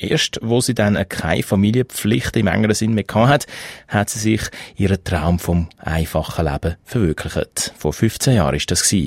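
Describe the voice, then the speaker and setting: Speaking with a Swiss accent at a fairly low pitch, a man uses lively intonation at a moderate pace, with a dry, close sound and no echo. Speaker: radio host. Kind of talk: radio presenting.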